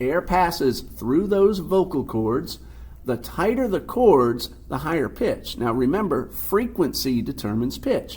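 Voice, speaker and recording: At a fairly slow pace, a man speaks amid audible room echo. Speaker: science teacher. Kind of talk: lecture.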